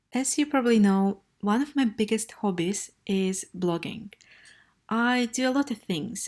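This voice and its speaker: With a Russian accent, a woman speaks at a fairly slow pace and ordinary pitch variation on a very clean recording with a silent background. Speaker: travel blogger. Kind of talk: vlog. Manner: casual with filler hesitations.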